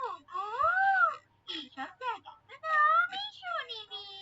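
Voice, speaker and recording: This woman puts on a squeaky, cartoonish character voice. Her pitch is extremely high. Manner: animated, exclamatory.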